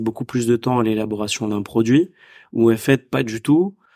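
Recorded very cleanly against a silent background, a man speaks in a normal speaking voice at a moderate pace and a fairly low pitch. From Paris suburbs, France. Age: 30s. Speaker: entrepreneur, event organizer. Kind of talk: casual interview.

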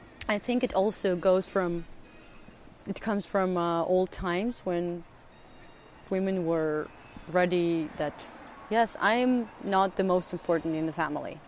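In a Russian accent, a woman with a medium pitch talks at a fairly slow pace, leaving long, frequent pauses, with ordinary pitch variation. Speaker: actress. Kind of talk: interview. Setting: outdoors. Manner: halting.

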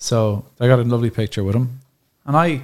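At a moderate pace, a man talks with a Dublin accent in a somewhat breathy voice. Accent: Dublin Irish. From Dublin, Ireland. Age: 40s. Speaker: cafe owner. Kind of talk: casual chat.

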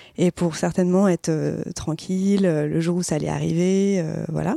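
Using a normal speaking voice, a woman talks at a fairly low pitch and a fairly slow pace with ordinary pitch variation, in a dry, close sound with no echo. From Marseille, southern France. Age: 30s. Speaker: podcast guest, older sister. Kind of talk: casual conversation.

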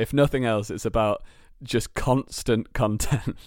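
A British accent on a very clean recording with a silent background. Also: man. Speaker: comedy writer and performer. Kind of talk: casual chat.

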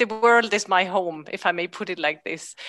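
A woman with a German accent speaks at a moderate pace in a bright, sharp tone with lively intonation against a quiet background. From Austria. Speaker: emotional intelligence coach. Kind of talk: interview. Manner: halting.

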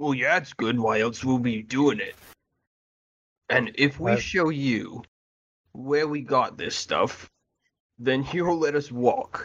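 Using a put-on character voice, a man speaks at a fairly slow pace with a medium pitch and long, frequent pauses. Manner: defensive, bargaining.

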